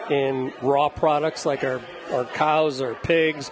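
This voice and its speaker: A man with an American accent, fairly high pitch, monotone flat intonation, and noticeable background noise. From Indiana. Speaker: chef and taco restaurant owner. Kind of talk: casual chat. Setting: studio kitchen.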